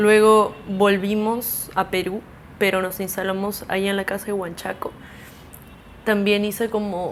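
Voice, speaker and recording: Noticeable background noise sits under this recording. A woman talks at a moderate pace in a medium pitch. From Peru, mostly Lima, early years in Mexico. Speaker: musician. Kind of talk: casual interview. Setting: at home.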